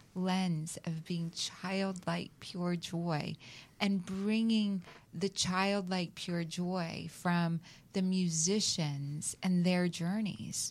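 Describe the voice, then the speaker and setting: A very slow, somewhat breathy delivery with an American accent and fairly even intonation. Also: woman, fairly low pitch for a woman. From US South. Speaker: talk show host. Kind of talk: casual chat. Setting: studio.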